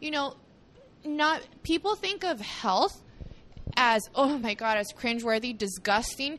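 Very wide pitch swings at a fairly slow pace, with long, frequent pauses. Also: woman, high pitch for a woman. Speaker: cafe founder and CEO. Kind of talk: casual interview. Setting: in person at her cafe.

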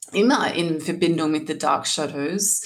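Here a woman speaks at a fairly slow pace, with ordinary pitch variation. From Australia, rural New South Wales near Sydney. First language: English (speaking German). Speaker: singer and musician. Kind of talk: interview. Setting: video call. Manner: halting, many fillers.

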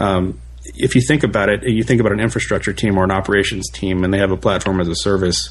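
A man with a very deep, low pitch and vocal fry talks at a very fast pace with very wide pitch swings. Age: 30s. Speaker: tech operations engineer. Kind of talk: casual chat. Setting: podcast interview.

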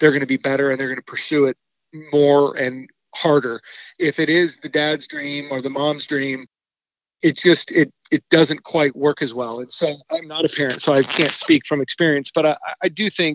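A man with a normal speaking voice, fairly high in pitch, talks at a moderate pace with fairly even intonation in a dry, close sound with no echo. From US Pacific Northwest, Eugene, Oregon. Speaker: college golf coach. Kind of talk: interview.

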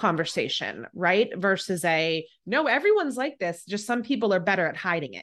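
At a moderate pace with hardly any pauses, a woman speaks at medium pitch in an animated tone with lively intonation over a quiet background. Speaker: podcast host. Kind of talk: casual interview chat.

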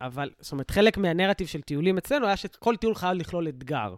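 On a very clean recording with a silent background, a man with a high pitch talks at a fairly quick pace and with lively intonation. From Israel, south (Sderot). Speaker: reservist soldier and social worker. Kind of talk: casual chat.

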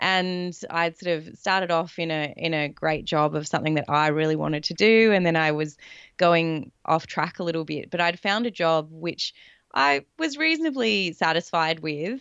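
A woman's fairly low voice in an Australian accent, at a moderate pace with ordinary pitch variation. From south coast of Australia. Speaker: life coach and former athlete. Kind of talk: casual interview chat.

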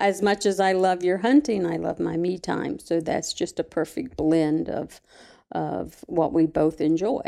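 A woman talks in an Appalachian accent at a fairly slow pace. Her voice is fairly low, dark and mellow, with lively intonation. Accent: Appalachian Southern US. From West Virginia. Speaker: retired school employee. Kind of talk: casual interview.

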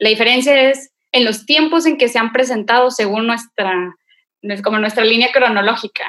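A woman with a plain, everyday voice, fairly high-pitched, at a moderate pace with ordinary pitch variation. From Monterrey, Nuevo León, Mexico. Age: 20s. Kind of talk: casual faith conversation and testimony.

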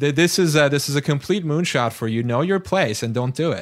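A man speaks with a Turkish accent. His intonation is lively. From Turkey, Istanbul. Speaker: author and former rocket scientist. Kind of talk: interview conversation. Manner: repeats words, fillers.

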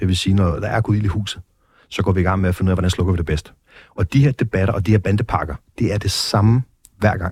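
Very fast and somewhat breathy, a man's very deep, low voice comes through a very clean, dry, close recording with a silent background and no echo. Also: ordinary pitch variation. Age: 30s. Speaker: former biker gang leader, exit programme director. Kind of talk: interview. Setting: studio.

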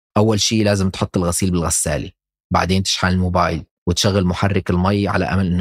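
In a very clean recording with a silent background, a man talks with a very deep, low pitch and fairly even intonation. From Syria, Damascus. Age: 30s. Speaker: podcast narrator and producer. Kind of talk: scripted personal narration.

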